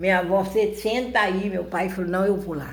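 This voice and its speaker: A woman speaks with vocal fry at a moderate pace, with audible room echo around her. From rural Brazil. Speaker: YouTuber. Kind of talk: personal storytelling. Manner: halting, repetitive.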